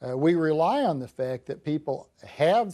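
Against a quiet background, a man with a dark, mellow tone and fairly high pitch speaks at a fairly slow pace with lively intonation. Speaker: political economist and author. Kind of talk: televised call-in interview. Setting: studio. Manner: frequent hesitations. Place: studio.

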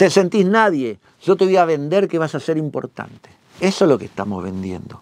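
A man talks at a moderate pace in a high pitch. The sound is dry with no echo, and the background is quiet. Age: 50s. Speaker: magician and magic teacher; magic teacher. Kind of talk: instructional talk. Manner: animated. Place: studio.

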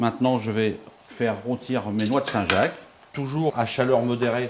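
Light background noise is audible. A man talks over it. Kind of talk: tutorial. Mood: calm, assured. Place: kitchen. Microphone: lapel.

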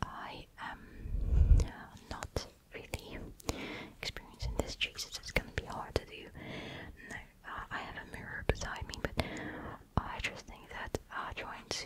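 Someone speaks at a fairly slow pace over loud background noise. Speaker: ASMR creator. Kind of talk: soft casual roleplay chat. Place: home room. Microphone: studio mic.

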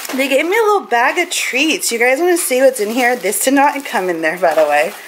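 Against noticeable background noise, a woman talks in a high pitch with very wide pitch swings. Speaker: vlogger. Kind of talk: casual vlog. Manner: chatty, casual.

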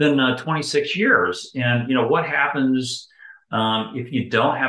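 A man at a moderate pace, with audible room echo. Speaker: interview guest. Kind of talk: interview answer. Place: home room. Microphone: video call.

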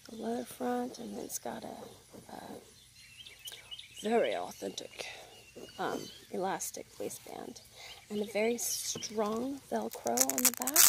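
A woman's fairly slow speech with long, frequent pauses and big swings in loudness, dry with no echo, against noticeable background noise. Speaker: ASMR creator. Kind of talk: ASMR unboxing haul, casual talk to camera. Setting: outdoors with birdsong. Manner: casual, chatty. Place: garden. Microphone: phone near.

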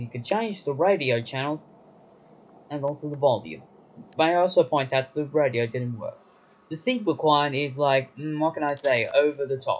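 Speech goes at a moderate pace, and the pitch varies in an ordinary way. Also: man. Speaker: train trip reviewer. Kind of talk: casual trip review narration. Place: train. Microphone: phone near.

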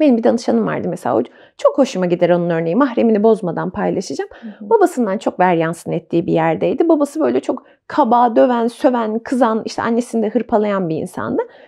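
A woman talks very fast with hardly any pauses, her fairly high pitch swinging very widely and her dark, mellow tone edged with vocal fry. The background is quiet. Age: 30s. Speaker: psychological counselor. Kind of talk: casual chat. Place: home room. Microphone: lapel.

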